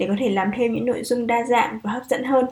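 A woman with a fairly high pitch speaks at a very fast pace, her intonation fairly even. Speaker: podcast host. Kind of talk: show intro and outro; interview about job hunting abroad.

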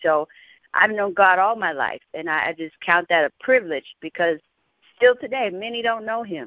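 A woman speaks in a plain, everyday voice with ordinary pitch variation. Her pace is moderate. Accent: American. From Texas, San Antonio. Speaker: gospel singer. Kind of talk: Bible teaching.

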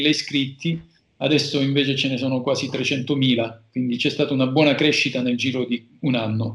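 Using a normal speaking voice, a man talks at a moderate pace, fairly high in pitch with fairly even intonation. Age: 40s. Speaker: lawyer. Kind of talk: casual interview.

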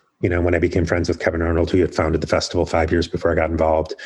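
With an American accent, a man speaks in a somewhat breathy voice. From US Midwest, Chicago area. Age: 40s. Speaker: artist manager. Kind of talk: interview.

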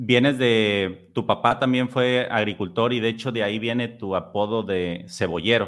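An unremarkable speaking voice from a man, medium in pitch and with ordinary pitch variation. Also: fairly slow pace. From Mexico, Tampico. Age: 30s. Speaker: podcast host. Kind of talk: casual interview.

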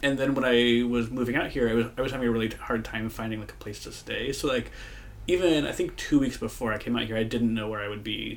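A man with an American accent at a very fast pace, with audible room echo. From US Midwest, Moline, Illinois. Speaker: podcast co-host, queer history worker. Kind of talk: casual chat.

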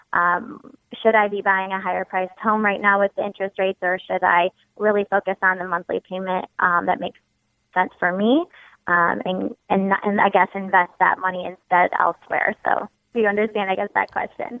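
A woman with an American accent speaks at a moderate pace and medium pitch. She has an ordinary speaking voice and fairly even intonation. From Ohio. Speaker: caller. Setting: phone call.

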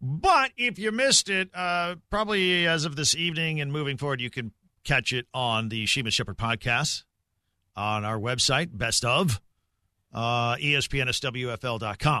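A man's fairly high-pitched voice, bright and sharp in tone, at a fairly slow pace, with a dry, close sound free of echo and a quiet background. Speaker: sports radio host. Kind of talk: sports talk radio. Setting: radio studio.

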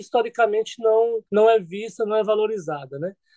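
A man with a high pitch and a dark, mellow tone is heard in a dry, close sound with no echo. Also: quiet background. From rural Bahia backlands, Brazil. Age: 30s. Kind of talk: interview.

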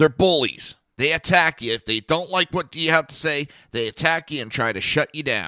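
The sound is dry and close with no echo as a man with a fairly high pitch and a bright, sharp tone speaks in big swings of loudness. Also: ordinary pitch variation. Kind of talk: angry political rant on talk radio. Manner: loud, sarcastic, indignant, fast and scornful, swearing.

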